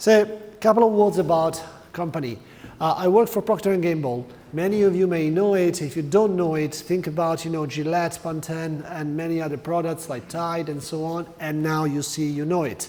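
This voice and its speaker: Ordinary pitch variation, with audible echo from the room. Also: man, high pitch for a man, moderate pace. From Italy. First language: Italian. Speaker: corporate learning manager. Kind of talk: conference talk. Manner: hesitant, with fillers.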